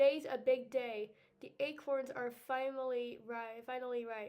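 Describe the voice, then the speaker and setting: The speaker performs a put-on character voice at a moderate pace. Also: woman, high pitch for a woman. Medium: read story.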